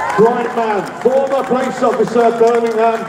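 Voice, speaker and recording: A man with crowd noise behind him and audible room echo. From London. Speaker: rally speaker. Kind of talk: rally speech. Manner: animated.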